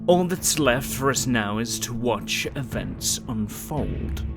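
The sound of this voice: Over loud music in the background, a man uses a put-on character voice at a medium pitch and a fairly slow pace.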